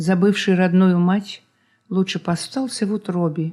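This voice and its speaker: Dark, mellow tone from a woman at a medium pitch. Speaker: poet reading her own work. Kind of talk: poetry reading.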